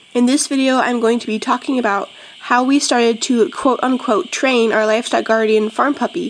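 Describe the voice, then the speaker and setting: At a fairly quick pace, a woman speaks with a high pitch and ordinary pitch variation over noticeable background noise. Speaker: homesteader and video host. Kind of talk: tutorial.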